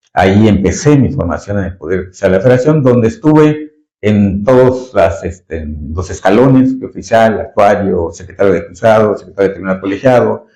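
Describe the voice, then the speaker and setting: A man with a Yucatecan accent speaks in a dark, mellow tone at a fairly low pitch. His pace is fairly quick and his intonation lively. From Mexico, Yucatán. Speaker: retired judge. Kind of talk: interview. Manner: halting, many fillers.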